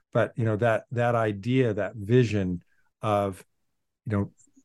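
A normal speaking voice at a moderate pace, dry and close with no echo, over a quiet background. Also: man. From US Pacific Northwest (Portland, Oregon). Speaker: philosopher and author. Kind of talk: interview.

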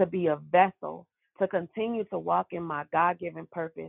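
This woman has a plain, everyday voice with a fairly low pitch. She talks at a moderate pace with fairly even intonation. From Brooklyn, New York. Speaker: abuse survivor and small business owner. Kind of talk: personal testimony interview.

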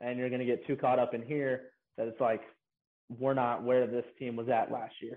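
At a fairly quick pace, a man with a Tennessee accent talks at a medium pitch in a monotone, flat intonation. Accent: Southern US (Tennessee). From Knoxville, Tennessee. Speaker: college baseball pitcher. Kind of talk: casual interview.

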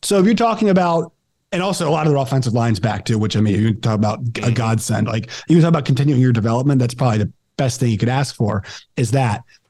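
A man's very fast, lively, medium-pitched voice, somewhat breathy with a dark, mellow tone. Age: 20s. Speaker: podcast host, sports commentator. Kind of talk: casual chat.

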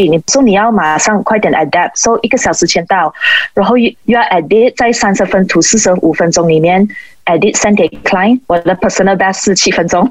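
The speech moves at a fairly quick pace with ordinary pitch variation and very even loudness, over noticeable background noise. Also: woman, medium pitch for a woman. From Malaysia. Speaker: sports photographer and former figure skater. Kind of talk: interview.

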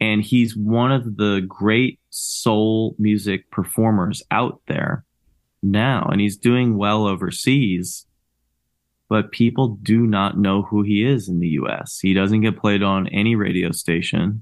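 At a very slow pace, a man with an American accent speaks in a fairly low pitch with fairly even intonation. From New Jersey (Cherry Hill, near Philadelphia). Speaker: rock musician and bandleader. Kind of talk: casual interview chat.

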